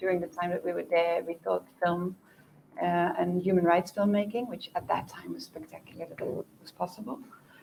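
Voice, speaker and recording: Speaking fairly quickly, a woman keeps a medium pitch. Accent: Dutch. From Netherlands. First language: Dutch. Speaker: documentary producer. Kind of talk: panel discussion.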